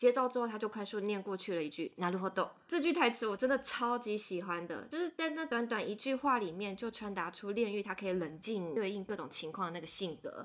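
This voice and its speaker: A woman with a normal speaking voice talks at medium pitch and a fairly quick pace, using lively intonation and hardly any pauses. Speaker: podcast host, anime editor. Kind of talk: casual chat.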